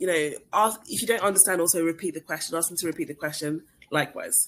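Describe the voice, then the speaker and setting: A woman speaks with a British accent. Her pitch is fairly low, with ordinary variation. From England. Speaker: recruiter. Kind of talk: webinar Q&A. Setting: online webinar. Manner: fast.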